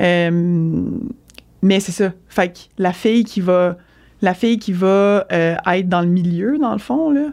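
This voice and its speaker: Against a quiet background, a woman speaks at a very slow pace with long, frequent pauses, her dark, mellow voice medium in pitch with ordinary variation and big swings in loudness. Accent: Quebec. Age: 30s. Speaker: triathlete, former elite swimmer. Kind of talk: casual interview.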